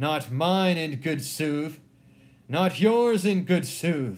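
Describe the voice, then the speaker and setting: Using a put-on character voice, a man speaks very slowly at a fairly high pitch with lively intonation. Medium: read story.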